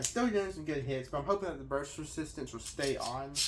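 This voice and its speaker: Audible room echo surrounds a man speaking very fast at a fairly high pitch with ordinary pitch variation. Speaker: toy reviewer. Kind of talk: unboxing and battle commentary. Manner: animated.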